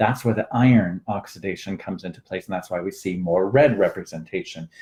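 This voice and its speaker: A man's somewhat breathy, dark, mellow voice at a fairly quick pace, with ordinary pitch variation. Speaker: hair color technical coach. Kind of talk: online training webinar. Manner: fast.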